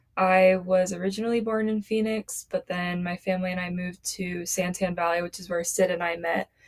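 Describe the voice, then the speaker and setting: With an American accent, a woman talks at a fairly quick pace with hardly any pauses, at a medium pitch, in a monotone, flat intonation. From Arizona. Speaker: podcast co-host. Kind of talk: casual chat.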